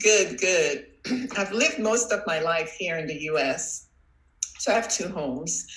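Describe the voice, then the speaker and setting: Over noticeable background noise, a woman at a medium pitch speaks at a fairly slow pace with lively intonation. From Trinidad and Tobago. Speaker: coach and former professor. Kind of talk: interview.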